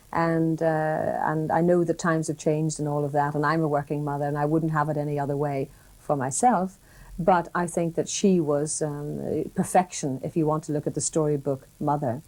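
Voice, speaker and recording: A woman with a very deep, low voice talks at a moderate speed and with fairly even intonation as music plays behind her. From Northern Ireland. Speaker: broadcaster. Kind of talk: interview answer.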